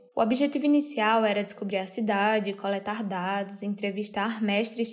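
Pitched fairly high, a woman's unremarkable speaking voice moves at a moderate speed. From Brazil, Ceará (Crato). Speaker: artist and designer, podcast host. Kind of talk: scripted narration.

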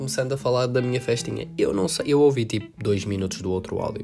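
Over background music, a man speaks at a fairly quick pace in an animated tone, with ordinary pitch variation. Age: 18. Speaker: student podcaster. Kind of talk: casual monologue. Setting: at home.

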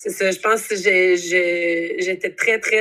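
A woman with a Quebec accent. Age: 20s. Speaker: university student. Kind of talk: casual interview.

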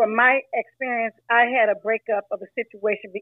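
A woman has an ordinary speaking voice, fairly high in pitch with fairly even intonation. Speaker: caller. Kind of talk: casual opinion chat. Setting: phone or app call.

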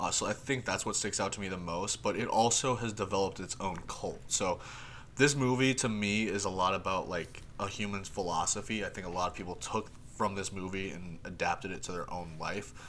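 This man has an ordinary speaking voice, fairly low in pitch, with ordinary pitch variation and a fairly quick pace. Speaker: podcast host, entertainment editor. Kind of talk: casual chat.

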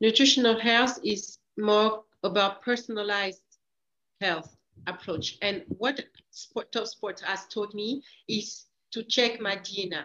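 In a French accent, a woman with a bright, sharp, fairly high voice talks very slowly with ordinary pitch variation. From France, east (moved from Equatorial Guinea at age three). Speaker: former Olympic sprinter turned leadership coach. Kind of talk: interview conversation.

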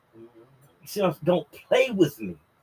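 A man speaks in a furious tone. His voice is somewhat breathy. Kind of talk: angry rant. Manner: furious, profane, ranting.

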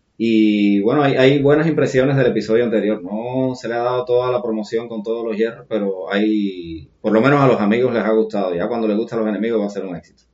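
A man at a medium pitch rushes along at a very fast pace with hardly any pauses, his pitch varying in an ordinary way. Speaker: podcast host. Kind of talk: casual chat; scripted narration. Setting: guest's home studio.

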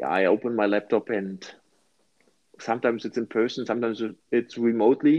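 With a German accent, a man at medium pitch talks at a fairly quick pace with fairly even intonation and long, frequent pauses. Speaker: project management consultant. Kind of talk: casual chat.

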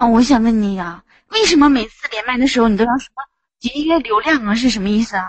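A woman's fairly high voice at a very fast pace. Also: ordinary pitch variation. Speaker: caller. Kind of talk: casual chat. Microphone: echo.

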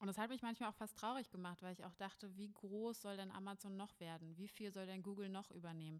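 A woman with a medium pitch talks at a very fast pace, with hardly any pauses and fairly even intonation. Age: 20s. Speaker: spiritual coach and podcast host. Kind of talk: solo podcast monologue.

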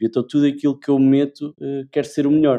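A man's fairly high voice, dark and mellow in tone, with a central Portugal accent. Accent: European Portuguese, central Portugal. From Portugal, Leiria. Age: 20s. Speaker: branding and communication specialist. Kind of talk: casual interview chat.

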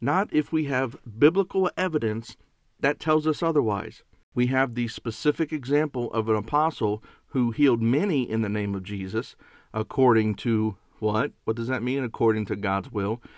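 A man with an ordinary speaking voice, medium pitch, lively intonation and a moderate pace, in a dry, close sound with no echo and a quiet background. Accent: American. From northern US. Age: 40s. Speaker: bible teacher podcaster. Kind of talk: bible teaching.

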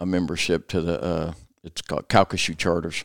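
A man with a Louisiana accent talks at a moderate pace in a very deep, low pitch, recorded very cleanly against a silent background with a dry, close sound and no echo. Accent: southern US (Louisiana). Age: 60s. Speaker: restoration business owner. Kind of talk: casual interview. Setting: office studio.

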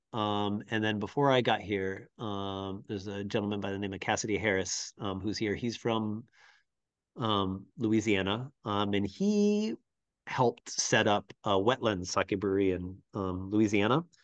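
With an American accent, a man speaks at a fairly low pitch and a fairly slow pace, his intonation fairly even over a quiet background. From US Pacific Northwest, Seattle area. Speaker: sake brewer. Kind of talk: interview. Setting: video call.

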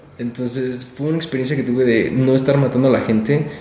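A man speaks at a fairly quick pace with fairly even intonation. There is audible room echo and noticeable background noise. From Sonora, Mexico. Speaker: insurance agent. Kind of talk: interview.

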